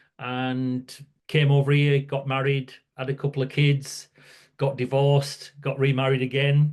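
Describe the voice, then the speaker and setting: A fairly high-pitched man with a northern English accent, over a quiet background. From northern England, near Scottish border. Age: 60s. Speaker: workplace safety campaigner. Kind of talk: podcast interview.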